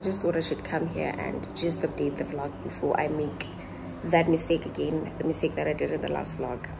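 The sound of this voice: At a moderate pace, a woman speaks low for a woman with little pitch movement and vocal fry, over clear background noise.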